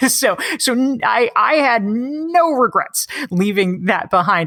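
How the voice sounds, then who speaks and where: A woman with an American accent, bright and sharp in tone, in a dry, close sound with no echo. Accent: slight Canadian-sounding. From US South, North Carolina. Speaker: author. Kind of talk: interview. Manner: animated.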